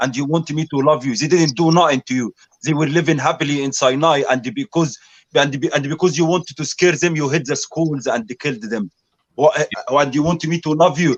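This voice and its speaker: A man with an Arabic accent and fairly high pitch, at a fairly quick pace with ordinary pitch variation, in a dry, close sound with no echo. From Egypt. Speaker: speaker's corner debater. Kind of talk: heated debate. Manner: animated.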